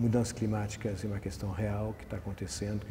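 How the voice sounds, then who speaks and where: Audible room echo surrounds a man with a non-native accent whose dark, mellow tone carries vocal fry and a monotone, flat intonation. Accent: foreign accent in Portuguese. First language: not Portuguese (speaking Portuguese). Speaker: environmental aviator. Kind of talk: TV interview. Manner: halting, many repetitions and fillers.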